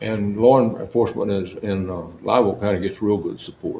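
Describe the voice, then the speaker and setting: At a moderate pace, a man with a South Texas accent talks in a fairly low pitch with fairly even intonation. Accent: South Texas rural. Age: 80s+. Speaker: longtime county sheriff. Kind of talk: interview. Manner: halting, with many repeated words.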